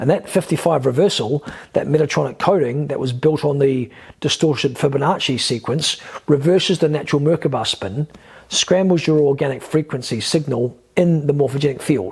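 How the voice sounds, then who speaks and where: The man's voice carries some breathiness. He speaks fairly quickly. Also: fairly high pitch for a man, ordinary pitch variation. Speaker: spiritual teacher and YouTuber. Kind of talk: monologue video lecture. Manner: fast; hesitant fillers.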